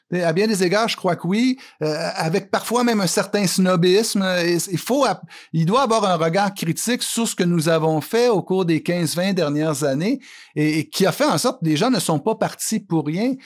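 On a very clean recording with a silent background, a man talks in a high pitch with lively intonation. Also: moderate pace. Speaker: columnist and author. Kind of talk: interview. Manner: halting.

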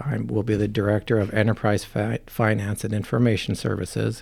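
Speaking with an American accent, a man uses an ordinary speaking voice at a fairly low pitch. His pace is fairly quick and his intonation fairly even. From Minnesota, Farmington. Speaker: city administrator. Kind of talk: interview.

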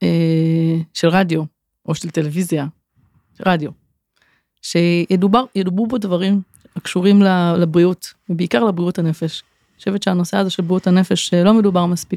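Dry and close with no echo, the recording has a woman speaking at a moderate pace with long, frequent pauses, a fairly low pitch, fairly even intonation, a dark, mellow tone and big swings in loudness. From Israel, Kfar Saba. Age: 40s. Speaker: occupational therapist. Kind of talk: interview conversation.

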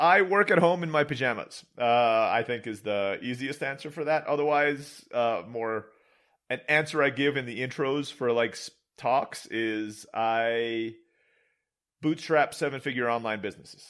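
In an American accent, a man with an unremarkable speaking voice talks at a fairly slow pace, medium pitch and ordinary pitch variation. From Istanbul, Turkey. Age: 40s. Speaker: online entrepreneur. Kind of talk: casual interview.

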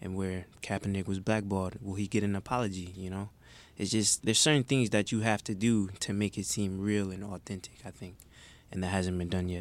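A man with an American accent, a fairly low pitch and an unremarkable speaking voice talks at a fairly quick pace on a very clean recording with a silent background. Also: fairly even intonation. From Detroit, Michigan. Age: 20s. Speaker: intern, college student. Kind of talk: casual chat.

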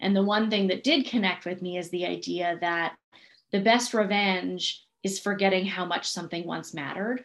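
A woman with an unremarkable speaking voice talks at a medium pitch and a moderate pace, with ordinary pitch variation. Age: 30s. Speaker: podcast host, business coach. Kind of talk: casual chat.

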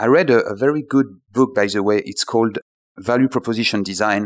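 A man's medium-pitched voice in a French accent, at a moderate pace with ordinary pitch variation. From France. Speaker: startup founder. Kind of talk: interview. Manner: halting.

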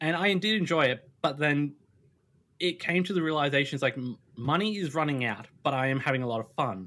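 Lively intonation marks this man's fairly quick delivery. He has a fairly high voice with an Australian accent. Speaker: streamer. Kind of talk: casual chat.

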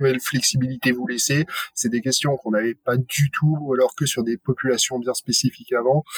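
A man with an ordinary speaking voice, medium pitch and ordinary pitch variation, in a dry, close sound with no echo. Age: 30s. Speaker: head of people at a robotics company. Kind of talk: casual panel discussion.

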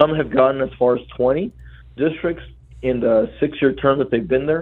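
A man with an American accent and a normal speaking voice talks at a medium pitch and a moderate pace, with ordinary pitch variation. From Rio Grande Valley, South Texas. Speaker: state transportation commissioner. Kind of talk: radio interview.

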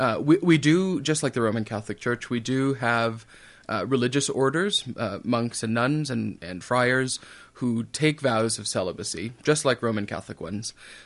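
A man with an American accent and an unremarkable speaking voice talks at a medium pitch and moderate pace, with ordinary pitch variation and a quiet background. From western Minnesota. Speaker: priest. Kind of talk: radio interview. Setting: radio studio.

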